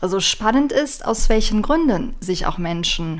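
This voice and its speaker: A woman's medium-pitched voice at a moderate pace, very wide pitch swings, audible room echo throughout. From western Germany, near Aachen. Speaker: vegan nutrition advisor. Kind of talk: casual chat.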